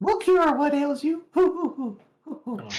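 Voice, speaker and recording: High pitch and a moderate pace in a put-on character voice. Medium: actual play. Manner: hooting, hard to understand.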